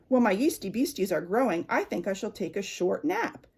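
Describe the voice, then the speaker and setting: Doing a growling, put-on character voice, a woman speaks at a fairly high pitch and fairly quick pace with very wide pitch swings. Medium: read story. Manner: fussy, exclaiming "oh my".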